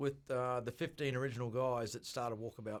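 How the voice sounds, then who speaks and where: The speaker is a man with a slight New Zealand accent. His tone is bright and sharp, and his pace is fairly quick. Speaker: bar owner. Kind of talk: radio interview. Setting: radio studio.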